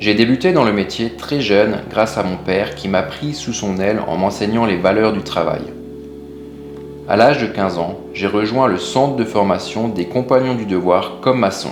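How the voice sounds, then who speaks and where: A man speaks with lively intonation, with audible room echo and music in the background. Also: fairly low pitch for a man, moderate pace. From Alsace, France. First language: Alsatian (speaking French). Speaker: stove builder and business owner. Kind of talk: scripted narration.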